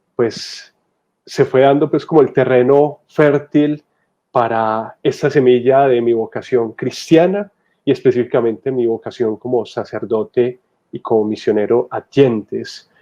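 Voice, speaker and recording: A man of medium pitch speaks at a fairly slow pace with a dark, mellow tone and ordinary pitch variation. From Colombia, Medellín (Antioquia). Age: 30s. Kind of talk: testimony.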